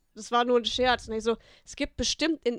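A woman's high-pitched voice at a moderate pace, with a dry, close sound and no echo. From Münsterland / Ostwestfalen-Lippe, Germany. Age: 20s. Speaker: comedian. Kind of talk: casual chat.

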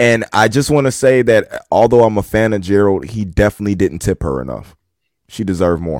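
On a very clean recording with a silent background and a dry, close sound with no echo, a man talks at a fairly quick pace. His fairly low voice is an unremarkable speaking voice with lively intonation. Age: 30s. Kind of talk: casual chat.

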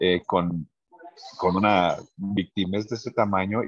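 Recorded with a dry, close sound and no echo, a man speaks fairly slowly at a fairly low pitch. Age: 50s. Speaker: restaurant owner. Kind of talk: interview. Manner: halting, many fillers and repetitions.

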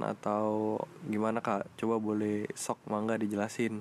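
A fairly low-pitched man at a fairly slow pace. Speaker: student podcast host. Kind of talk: casual podcast interview. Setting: studio, guest seated beside him.

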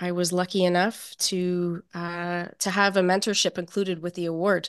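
A woman speaks in a fairly low voice. The background is quiet. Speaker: filmmaker and mentee. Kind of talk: casual interview. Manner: hesitant, many fillers.

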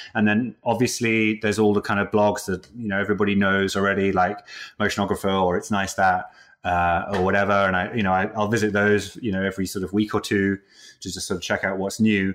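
Speaking at a very fast pace, a man with a British accent keeps a fairly low pitch and a monotone, flat intonation. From UK. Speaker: character animator. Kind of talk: interview. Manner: halting.

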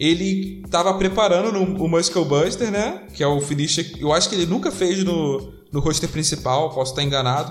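Music plays in the background as a man with a high pitch and ordinary pitch variation speaks at very even loudness amid audible room echo. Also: moderate pace. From Rio de Janeiro, Brazil. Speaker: wrestling podcast host. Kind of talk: casual chat.

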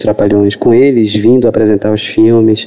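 At a fairly slow pace, a man speaks at medium pitch in a monotone, flat delivery. Noticeable background noise can be heard. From Recife, Brazil. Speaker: film critic. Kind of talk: personal recollection. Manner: halting.

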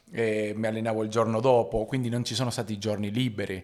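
A man with a Spanish accent at a fairly quick pace, flat and monotone, on a very clean recording with a silent background. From Argentina. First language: Spanish (speaking Italian). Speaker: basketball player and entrepreneur. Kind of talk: interview.

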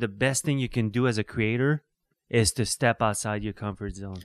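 A man with an unremarkable speaking voice talks at a medium pitch with ordinary variation, in a dry, close sound with no echo and a very clean recording with a silent background. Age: 60s. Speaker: musician and photographer. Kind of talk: casual chat. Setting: studio.

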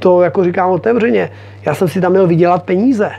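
Noticeable background noise behind a man's high voice. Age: 40s. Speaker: motocross racer. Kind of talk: interview. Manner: casual, hesitant with fillers.

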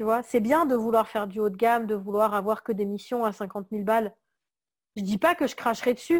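A woman's fairly high, fairly quick voice with ordinary pitch variation, on a very clean recording with a silent background. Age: 30s. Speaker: graphic designer. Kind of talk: interview. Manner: hesitant, many fillers.

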